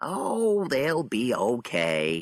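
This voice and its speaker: The speaker uses a put-on character voice full of very wide pitch swings. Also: man. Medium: read story. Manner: casual, unworried.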